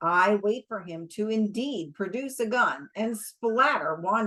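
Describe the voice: Ordinary pitch variation in plain reading aloud.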